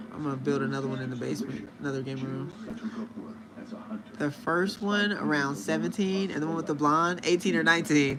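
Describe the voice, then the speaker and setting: Over noticeable background noise and audible room echo, a man with a fairly high pitch speaks at a fairly quick pace with lively intonation. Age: 30s. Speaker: livestreamer. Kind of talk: casual chat.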